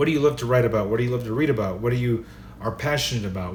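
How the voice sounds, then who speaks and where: Amid noticeable background noise and audible room echo, a man speaks in an animated tone at a medium pitch, with ordinary pitch variation. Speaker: writing vlogger. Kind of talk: casual advice talk. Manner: fast.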